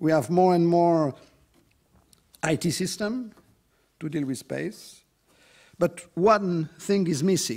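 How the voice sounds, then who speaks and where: A man's high voice in a French accent, very slow, with ordinary pitch variation, on a very clean recording with a silent background. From France. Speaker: EU official, conference speaker. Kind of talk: conference talk. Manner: halting, many fillers.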